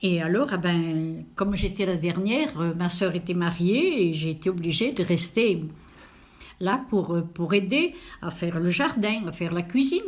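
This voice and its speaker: A somewhat breathy voice with lively intonation at a fairly slow pace. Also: woman. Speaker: elderly interviewee. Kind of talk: interview. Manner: hesitant, many fillers.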